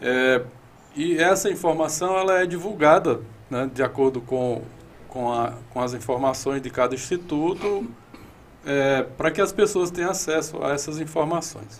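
At a fairly slow pace, a man with an unremarkable speaking voice talks in a fairly high pitch with ordinary pitch variation. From Ceará, Brazil (Iguatu). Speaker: meteorology professor. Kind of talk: interview.

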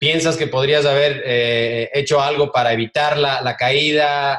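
Fairly even intonation in a plain, everyday voice. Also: man. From Ecuador. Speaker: podcast host. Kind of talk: interview.

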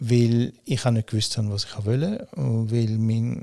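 A man's medium-pitched voice, dark and mellow in tone, at a very slow pace with ordinary pitch variation, in a dry, close sound with no echo. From Switzerland, Winterthur. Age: 60s. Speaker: company founder. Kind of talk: interview. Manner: halting, many fillers.

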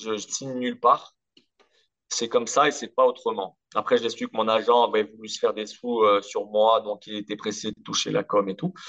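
A man at a moderate pace with big swings in loudness, in a dry, close sound with no echo. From Corsica. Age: 30s. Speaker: former professional footballer. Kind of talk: interview.

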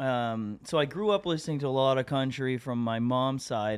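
A man talks in an ordinary speaking voice. His pace is moderate, with ordinary pitch variation. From Atlantic Canada (Moncton, New Brunswick). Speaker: singer-songwriter. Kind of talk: casual interview chat.

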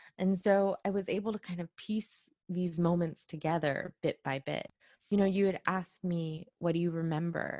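A woman with an unremarkable speaking voice has a fairly low pitch. She talks at a moderate pace with fairly even intonation. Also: dry, close sound with no echo. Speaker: journalist and author. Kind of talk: interview. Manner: casual, many fillers.

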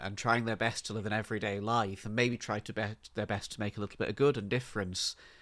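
A man with an English accent talks at a fairly quick pace and fairly low pitch on a very clean recording with a silent background. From England. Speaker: book podcast co-host. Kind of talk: casual chat.

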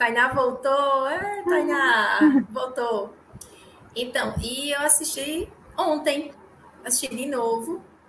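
Amid noticeable background noise, a high-pitched woman speaks at a very slow pace with long, frequent pauses. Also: ordinary pitch variation. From Natal, northeast Brazil. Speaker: podcast guest, fan of the show. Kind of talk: casual film discussion.

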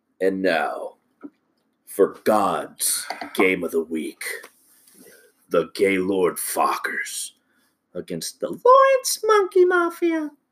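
This is a put-on character voice, raspy in texture. It moves at a very slow pace. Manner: weird, put-on voice.

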